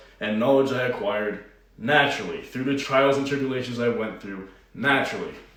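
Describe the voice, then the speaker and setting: Audible room echo and noticeable background noise surround a man's speech. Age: 20s. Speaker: online fitness coach. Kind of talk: personal vlog monologue.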